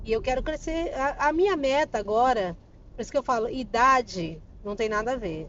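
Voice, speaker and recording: A woman's high voice with very wide pitch swings at a moderate pace. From Brazil, Campo Grande, Mato Grosso do Sul. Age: 40s. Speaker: psychoanalyst and therapist. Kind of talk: casual interview.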